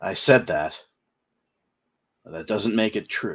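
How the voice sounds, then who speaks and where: Putting on a character voice, a man speaks in a stern tone at a fairly slow pace. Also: fairly low pitch for a man. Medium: actual play. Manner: grave, stern.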